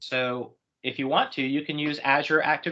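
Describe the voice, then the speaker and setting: This is a man's voice. It sits fairly high in pitch. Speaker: cloud technology presenter. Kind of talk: webinar presentation. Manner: fast.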